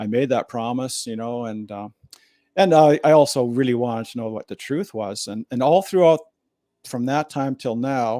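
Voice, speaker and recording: In a western Canadian accent, a man talks at a moderate pace and medium pitch with a dark, mellow tone, ordinary pitch variation and big swings in loudness, in a dry, close sound with no echo on a very clean recording with a silent background. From Alberta, Canada. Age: 60s. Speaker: former political candidate. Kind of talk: interview testimony. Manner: casual, filler-heavy.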